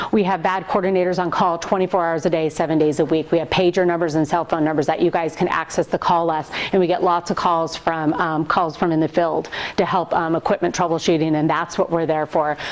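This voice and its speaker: Against noticeable background noise, a woman with a fairly low pitch speaks very fast in a monotone, flat intonation, with very even loudness and hardly any pauses. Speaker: VAD coordinator nurse giving training. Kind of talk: lecture.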